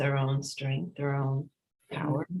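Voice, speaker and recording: A woman speaks at a moderate pace in a somewhat breathy voice against a quiet background. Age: 70s. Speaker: foundation president, former party member. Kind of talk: interview conversation. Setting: live stream.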